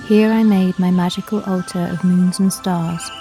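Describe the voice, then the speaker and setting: Music plays behind a woman speaking in a calm tone at a medium pitch, with fairly even intonation. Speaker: witch-themed ASMR storyteller. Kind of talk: ASMR folklore storytelling, first-person forest narration. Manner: soft-spoken, calm, relaxing.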